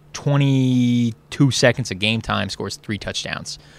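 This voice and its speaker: Over a silent background in a very clean recording, a man with an unremarkable speaking voice and medium pitch talks at a fairly slow pace with ordinary pitch variation. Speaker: sports beat writer. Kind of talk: post-game sports analysis chat.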